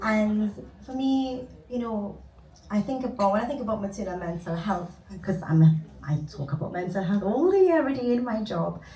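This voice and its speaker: A voice in a Trinidadian accent amid audible room echo and noticeable background noise. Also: woman, medium pitch for a woman, moderate pace. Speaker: cognitive behavior therapist. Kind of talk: conference panel talk.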